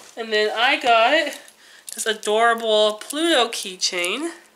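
A woman's fairly high voice at a very slow pace, lively in intonation, amid noticeable background noise. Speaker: vlogger. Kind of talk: casual vlog haul. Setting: home, sitting on the floor filming.

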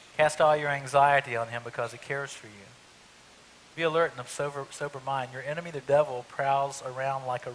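A man's medium-pitched voice with a fairly bright tone.

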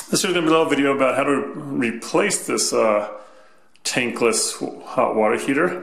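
A man keeps a moderate pace while the room's echo is audible around his words. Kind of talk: tutorial. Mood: casual, mildly exasperated. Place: home room. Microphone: phone near.

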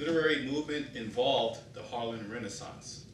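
A man speaks with fairly even intonation at a moderate pace, with audible room echo and noticeable background noise around him. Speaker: speaker. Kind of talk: prepared speech. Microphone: camera far.

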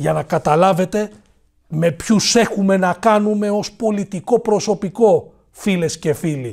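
A man speaks fairly slowly in a quiet background. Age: 40s. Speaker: political commentator. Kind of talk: monologue commentary. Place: studio. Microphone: lapel.

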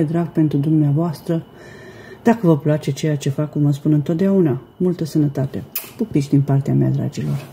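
Over light background noise, a woman with a very deep, low pitch talks at a fairly quick pace with ordinary pitch variation. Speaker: home cooking vlogger. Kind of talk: casual vlog chat. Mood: warm, friendly. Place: kitchen. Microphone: phone near.

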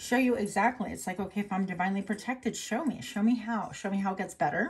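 A woman speaking at a very fast pace, with ordinary pitch variation. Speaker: tarot card reader. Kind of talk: casual spiritual card reading. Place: home room. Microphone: phone near.

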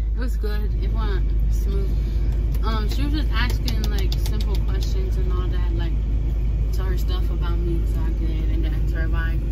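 Loud background noise sits behind speech delivered at a moderate pace. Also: woman. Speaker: job applicant telling about interview. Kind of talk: casual vlog chat. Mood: relaxed, pleased. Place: car. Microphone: phone near.

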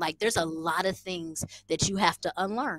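A woman with an American accent, ordinary pitch variation, and a dry sound with no echo. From American living in Rwanda. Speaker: podcast guest. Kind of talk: casual, slangy. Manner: fast talker. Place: home room. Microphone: headset.

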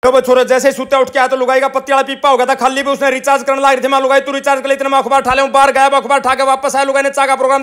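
A man's monotone, flat intonation over noticeable background noise. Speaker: vlogger. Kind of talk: fast daily-life vlog narration. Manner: fast.

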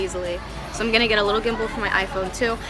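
A woman talks at a very fast pace over clear music in the background. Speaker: vlogger. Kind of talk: casual vlog chat. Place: street. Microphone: phone near.

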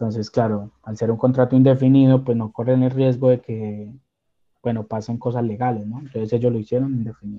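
The man's intonation is monotone and flat. He talks fairly quickly. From Colombia, Armenia; Colombia. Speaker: caregiver, immigrant; interview guest. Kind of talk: interview. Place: home room. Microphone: video call.

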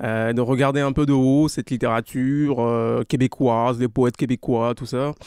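A man speaks at medium pitch and a moderate pace with monotone, flat intonation. The sound is dry and close with no echo. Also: very clean recording, silent background. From Togo. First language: Anufo (speaking French). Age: young. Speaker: author. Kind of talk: interview.

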